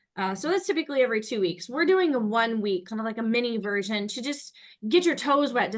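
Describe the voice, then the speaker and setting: A woman talks at a very fast pace with a fairly high pitch and lively intonation. The background is quiet. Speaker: fitness instructor. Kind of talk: workshop instruction. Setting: video call.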